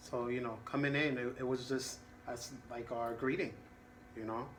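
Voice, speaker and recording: Audible room echo surrounds a man of medium pitch who speaks at a moderate pace with fairly even intonation. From Latin America. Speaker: counselor. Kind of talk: role-play counseling session.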